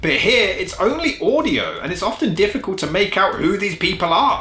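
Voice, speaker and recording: A man speaks with a raised, projected voice at a high pitch and a fairly quick pace, his pitch swinging very widely. Music plays in the background. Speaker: film reviewer. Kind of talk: comedic review commentary. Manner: sarcastic.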